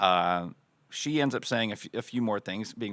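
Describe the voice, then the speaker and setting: In a very clean recording with a silent background, a man with an American accent uses a normal speaking voice at a moderate pace, with ordinary pitch variation. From Florida. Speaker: pastor. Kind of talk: casual chat.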